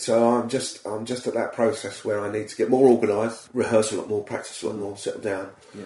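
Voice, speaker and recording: With an English accent, a man talks at a very fast pace in a fairly low, somewhat breathy voice, keeping fairly even intonation despite big swings in loudness. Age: 40s. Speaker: comedy impressionist. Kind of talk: casual chat. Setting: studio.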